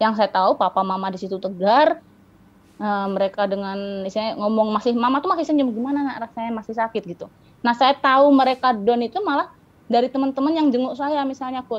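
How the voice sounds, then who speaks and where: At a very fast pace, a woman speaks in a high pitch with lively intonation. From Riau, Sumatra, Indonesia. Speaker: para-badminton athlete; guest. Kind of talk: interview. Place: home room. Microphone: video call.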